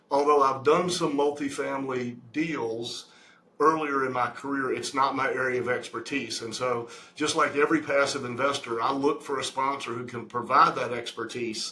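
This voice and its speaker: At a moderate pace and a fairly high pitch, a man keeps his intonation fairly even while noticeable background noise continues. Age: 60s. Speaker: real estate investment sponsor. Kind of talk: interview. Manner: halting.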